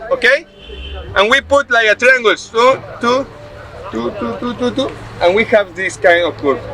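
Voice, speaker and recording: A raised, projected voice speaks in a Spanish accent at a moderate pace. Noticeable background noise is present. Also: man. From Mexico. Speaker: bamboo construction instructor. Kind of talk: hands-on workshop demonstration. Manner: halting.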